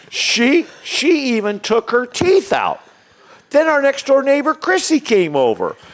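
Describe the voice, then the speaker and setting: A man with an American accent talks at a fairly slow pace, the sound dry and close with no echo. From Illinois, US Midwest. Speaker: golf course management executive. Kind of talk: joke telling in casual chat. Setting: studio with live audience.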